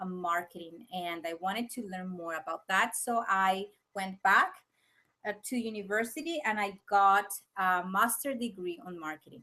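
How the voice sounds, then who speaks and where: A bright, sharp tone with a Venezuelan accent and ordinary pitch variation. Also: woman, medium pitch for a woman, big swings in loudness. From Venezuela (Caracas, Valencia). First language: Spanish. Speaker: business coach. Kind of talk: webinar presentation. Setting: live video webinar. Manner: slow, with pauses to find words.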